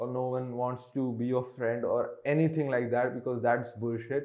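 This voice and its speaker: Against a quiet background, a man speaks with monotone, flat intonation. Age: 20s. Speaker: vlogger. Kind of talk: unscripted personal monologue. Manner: halting, many fillers. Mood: candid, reflective, sometimes subdued. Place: home room. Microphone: lapel.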